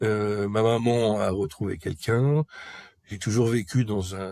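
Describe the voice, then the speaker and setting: A man speaks with fairly even intonation. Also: very clean recording, silent background. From Paris region, France. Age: 40s. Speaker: person recovering from hoarding disorder. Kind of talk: personal testimony interview. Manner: halting, frequent hesitations.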